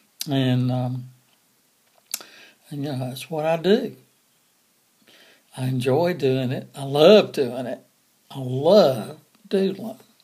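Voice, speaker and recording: A man's voice, fairly high in pitch, is somewhat breathy, with a dark, mellow tone and a relaxed tone. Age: 60s. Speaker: doodle artist and coloring book author. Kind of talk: casual talk to camera. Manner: relaxed, hesitant with fillers.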